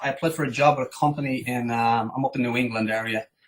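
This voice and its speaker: With an Irish accent, a man talks at a moderate pace and with fairly even intonation. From Ireland, Dublin. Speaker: digital marketing agency owner. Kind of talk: interview.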